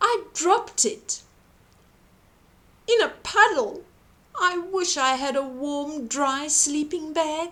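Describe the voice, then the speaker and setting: Putting on a character voice, a woman speaks at an extremely high pitch and a very slow pace, with long, frequent pauses. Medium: read story. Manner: distressed.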